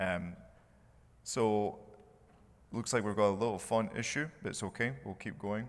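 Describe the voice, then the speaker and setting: With a Scottish accent, a man talks at a moderate pace and a fairly low pitch, using ordinary pitch variation and taking long, frequent pauses. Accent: Scottish accent, noticeable. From Scotland. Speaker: mechanical engineer, conference speaker. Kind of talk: conference presentation.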